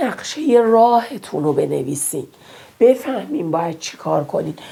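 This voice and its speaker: Noticeable background noise sits behind a woman whose pitch swings very widely. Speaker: math teacher. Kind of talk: tutorial. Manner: casual, encouraging.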